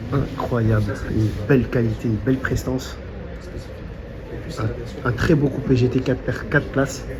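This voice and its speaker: Someone soft-spoken talks at a fairly slow pace, pausing long and often, against noticeable background noise. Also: man. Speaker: car vlogger. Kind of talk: walkaround vlog commentary. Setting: outdoors at a car show.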